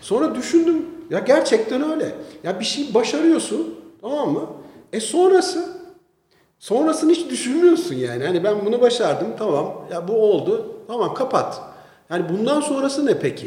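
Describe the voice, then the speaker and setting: A man's voice sits extremely high in pitch and swings very widely. He speaks at a moderate pace, with audible room echo. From Istanbul, Turkey. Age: 50s. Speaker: businessman. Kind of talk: casual interview.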